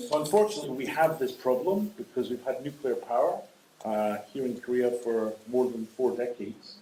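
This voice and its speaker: A man with a Scottish accent speaks at a moderate pace in a medium pitch, his intonation lively, with noticeable background noise behind him. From Scotland. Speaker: nuclear energy expert. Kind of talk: lecture. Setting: lecture hall with audience. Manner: pausing for consecutive interpretation.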